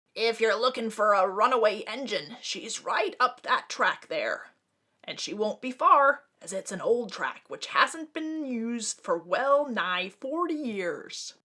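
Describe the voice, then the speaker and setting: A woman's high-pitched, put-on character voice with very wide pitch swings. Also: fairly slow pace. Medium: read story.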